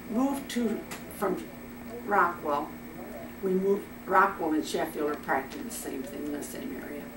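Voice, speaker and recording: A woman speaks at a moderate pace with long, frequent pauses, very wide pitch swings and big swings in loudness, over noticeable background noise and audible room echo. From Iowa, US Midwest. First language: German. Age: 100s (80s+). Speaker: grandmother telling family stories. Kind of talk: casual family interview, reminiscing. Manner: halting.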